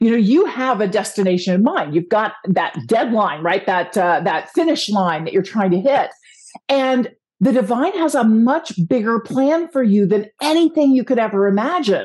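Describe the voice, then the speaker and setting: Keeping her loudness very even, a woman speaks at a moderate pace in a fairly high pitch with very wide pitch swings. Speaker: podcast host. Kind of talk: casual interview chat.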